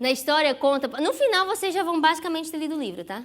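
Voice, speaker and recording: A woman talks fairly fast, her intonation lively throughout. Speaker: psychologist giving a sermon. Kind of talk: sermon. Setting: church.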